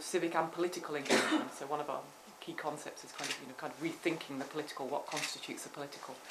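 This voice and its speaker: With a British accent, a woman speaks at a very deep, low pitch in a monotone, flat way. Noticeable background noise and audible room echo surround her. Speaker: professor. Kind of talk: academic seminar discussion. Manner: fast; hesitant, many fillers.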